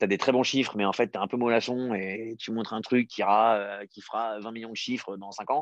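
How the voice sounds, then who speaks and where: Fairly even intonation in a man's fairly low voice. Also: dry, close sound with no echo, quiet background. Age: 30s. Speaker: startup founder and CEO. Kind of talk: interview.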